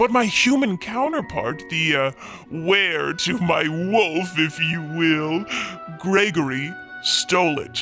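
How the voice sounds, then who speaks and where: Putting on a character voice, a man talks very slowly at a high pitch while clear music plays in the background. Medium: audio drama. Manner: polite, apologetic.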